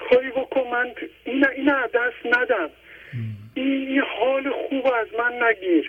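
A man speaks at a very slow pace with an extremely high pitch. Noticeable background noise runs beneath him. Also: ordinary pitch variation. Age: 50s.

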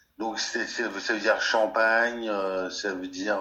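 With noticeable background noise and audible echo in the room, the intonation stays fairly even. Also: man. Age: 40s. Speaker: cultural sector worker. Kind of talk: testimony. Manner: halting.

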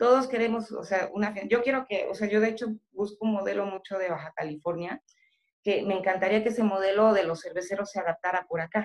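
A woman's very fast delivery at medium pitch, with fairly even intonation. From central Mexico, State of Mexico. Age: 40s. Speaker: beer industry professional. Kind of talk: casual chat.

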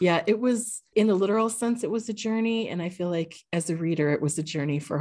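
Her voice is an unremarkable speaking voice, a woman's of fairly low pitch, moving at a moderate pace with lively intonation. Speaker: podcast host, librarian. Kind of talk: casual interview chat.

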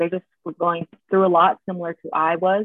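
Speaking in a normal speaking voice, a woman talks at a fairly quick pace with fairly low pitch. She has an American accent. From US West Coast, San Jose (Bay Area). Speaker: mental health advocate, sorority member. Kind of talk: casual chat.

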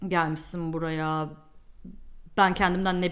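A woman with a fairly low pitch speaks in a room whose echo is audible. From Turkey. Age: 20s. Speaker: media planner. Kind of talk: casual interview chat.

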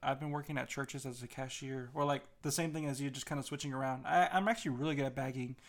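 Intonation remains fairly even here. It is an ordinary speaking voice. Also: man. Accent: American. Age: young. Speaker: podcast co-host. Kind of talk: casual chat.

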